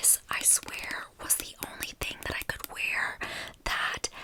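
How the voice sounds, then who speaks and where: A woman is whispering at a fairly slow pace. Noticeable background noise can be heard. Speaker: ASMR content creator. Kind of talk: ASMR whisper ramble / product review to camera. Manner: whispered, soft, friendly.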